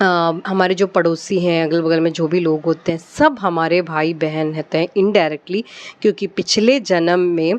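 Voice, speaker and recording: With a Malayalam accent, a woman talks at a fairly low pitch using ordinary pitch variation. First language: Malayalam (speaking Hindi). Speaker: devotional vlogger. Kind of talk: casual devotional talk, personal anecdote. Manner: hesitant, many fillers.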